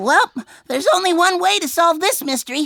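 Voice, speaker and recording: In a squeaky, cartoonish character voice, the speaker goes fairly quickly at a high pitch with very wide pitch swings. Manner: brash, laughing.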